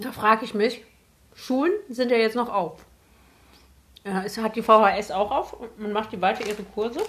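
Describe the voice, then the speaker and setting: A woman's fairly high voice at a moderate pace, with fairly even intonation, big swings in loudness and long, frequent pauses, over noticeable background noise. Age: 20s. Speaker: podcast co-host. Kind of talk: casual chat.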